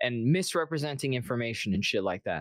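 A man with an animated tone, recorded dry and close with no echo, very clean against a silent background. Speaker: content creator, game community commentator. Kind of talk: casual chat. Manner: profane, animated.

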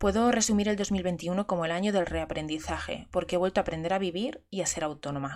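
Talking very fast, a woman uses a medium pitch with ordinary pitch variation. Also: very clean recording, silent background. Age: 30s. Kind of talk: personal monologue. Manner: halting.

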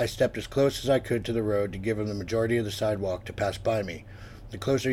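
Plain reading aloud

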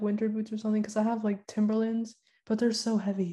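This woman's fairly high voice is somewhat breathy, with a dark, mellow tone and flat, monotone delivery. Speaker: college student. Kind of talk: casual chat.

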